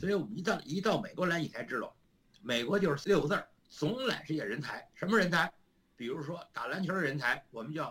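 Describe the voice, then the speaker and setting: A man talks at a fairly quick pace in a high-pitched voice. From China. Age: 70s. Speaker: retired professor. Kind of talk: interview conversation.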